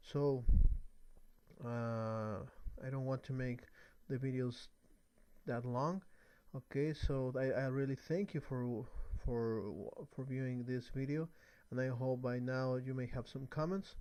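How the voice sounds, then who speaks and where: A dark, mellow tone with a non-native accent comes at a fairly slow pace with long, frequent pauses and fairly even intonation, on a very clean recording with a silent background. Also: man, medium pitch for a man. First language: not English. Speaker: networking tutorial creator. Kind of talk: tutorial. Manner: halting. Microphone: new microphone.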